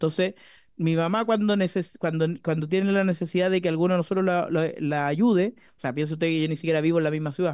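Over a quiet background, a man talks at a very fast pace in a high pitch, with fairly even intonation, very even loudness, and a dry sound with no echo. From Chile. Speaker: parliamentarian. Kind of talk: parliamentary debate. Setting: parliamentary committee room. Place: meeting room. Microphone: podium.

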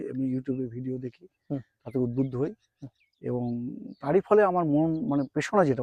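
The recording carries a man's medium-pitched voice with a dark, mellow tone. His pitch varies in an ordinary way, and the sound is dry and close with no echo. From West Bengal, Nadia district. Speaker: college teacher and new jackfruit farmer. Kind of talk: interview.

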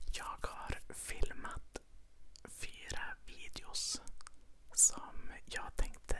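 The speaker is a woman. She is whispering. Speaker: ASMR creator. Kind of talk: ASMR ramble, casual talk. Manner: soft-spoken. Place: home room. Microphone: lapel.

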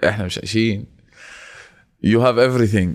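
A man speaks at a moderate pace. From Jordan. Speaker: social media entrepreneur. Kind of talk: casual chat.

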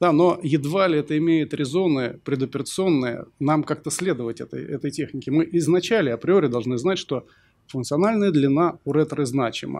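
A man speaks with a fairly high voice. His pace is moderate and his pitch variation ordinary. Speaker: surgeon, panel discussant; panel discussant. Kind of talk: panel discussion. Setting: stage with audience. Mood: thoughtful, arguing a personal view. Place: hall. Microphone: podium.

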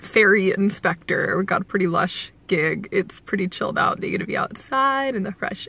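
A woman's voice is heard as a dry sound with no echo. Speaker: commuter vlogger. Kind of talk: casual vlog chat. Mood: relaxed, amused, laughing. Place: car. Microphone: phone near.

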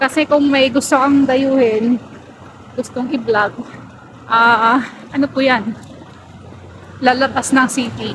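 A woman's high voice moves at a very slow pace, with long, frequent pauses and monotone, flat intonation. Noticeable background noise is present. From Philippines. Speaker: vlogger. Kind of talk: walking vlog. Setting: outdoors. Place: street. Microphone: phone near.

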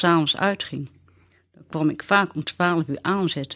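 A woman with an unremarkable speaking voice talks at a fairly slow pace and fairly low pitch, with ordinary pitch variation, in a dry, close sound with no echo. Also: quiet background. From Netherlands, Westland near The Hague. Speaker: storyteller sharing memories. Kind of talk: personal memoir reading.

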